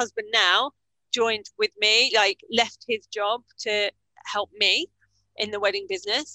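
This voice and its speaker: With a British accent, a woman talks at a moderate pace in a fairly high pitch, her tone bright and sharp, and the sound is dry and close with no echo. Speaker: business coach. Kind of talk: interview.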